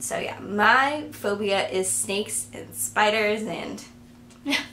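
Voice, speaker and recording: Amid light background noise, a woman with a fairly high pitch speaks at a very slow pace with ordinary pitch variation. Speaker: vlogger. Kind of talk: casual talk to camera. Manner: mumbling, awkward. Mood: relaxed, storytelling. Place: home room. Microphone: camera far.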